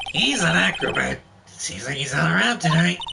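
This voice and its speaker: A man puts on a character voice. His pace is moderate. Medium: game stream. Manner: showy, jokey.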